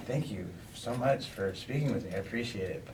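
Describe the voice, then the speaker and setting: This man talks at a fairly slow pace in a medium pitch. Background noise is noticeable. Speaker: interviewer. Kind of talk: casual talk to camera. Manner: upbeat.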